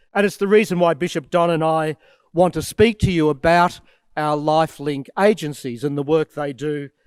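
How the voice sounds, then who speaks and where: A man with an Australian accent speaks at a moderate pace in a fairly high voice with ordinary pitch variation, dry and close with no echo, on a very clean recording with a silent background. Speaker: archbishop. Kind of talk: address to students.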